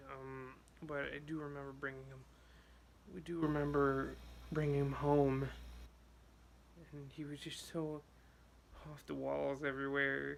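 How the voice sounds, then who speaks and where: Soft-spoken and fairly high-pitched, a man talks fairly slowly in a monotone, flat way, with long, frequent pauses, big swings in loudness, and audible room echo. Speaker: vlogger. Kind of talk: personal vlog. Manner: soft-spoken, quiet; hesitant, many fillers.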